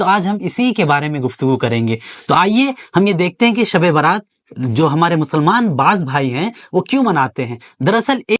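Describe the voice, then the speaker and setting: This man talks in a high pitch with very wide pitch swings. The sound is dry and close, with no echo. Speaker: Islamic scholar giving a religious talk. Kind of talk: Islamic sermon (bayan) to camera.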